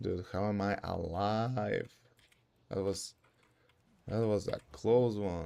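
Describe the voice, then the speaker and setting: Pausing long and often, a man speaks at a very slow pace with a fairly low pitch and a dark, mellow tone. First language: not English. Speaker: streamer. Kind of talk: casual livestream gameplay chat. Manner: animated.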